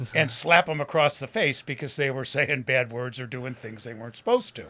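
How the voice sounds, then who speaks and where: In an American accent, a man with a medium pitch and a bright, sharp tone speaks fairly quickly, with ordinary pitch variation and big swings in loudness. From Detroit, US Midwest. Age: 70s. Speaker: recovering addict telling life story. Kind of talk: interview testimony.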